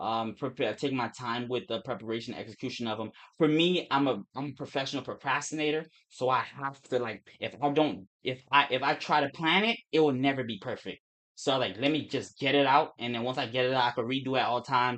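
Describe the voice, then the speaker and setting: A mumbling man with an American accent, medium pitch and ordinary pitch variation, at a fairly quick pace. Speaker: forex trader and streamer. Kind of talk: casual livestream chat. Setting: live stream. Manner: fast; mumbling, words run together.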